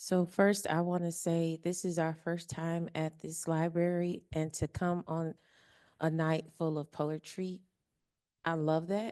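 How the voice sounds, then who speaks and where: Speaking fairly slowly in an American accent, a woman has a dark, mellow tone, a fairly low pitch and monotone, flat intonation. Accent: twang. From Indiana, Kentucky, Ohio region of US Midwest. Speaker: audience member asking a question. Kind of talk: audience question.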